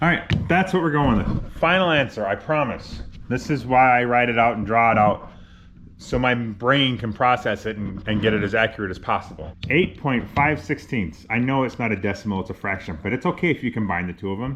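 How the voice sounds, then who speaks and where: With a normal speaking voice, a man of medium pitch talks at a fairly quick pace with lively intonation. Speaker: DIY car builder, garage channel host. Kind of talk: casual workshop vlog, talking to camera. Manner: casual, thinking aloud with self-corrections.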